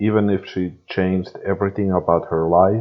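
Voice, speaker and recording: The speaker is a man with a non-native accent. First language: not English. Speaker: fan fiction reader. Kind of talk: reading aloud. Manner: halting.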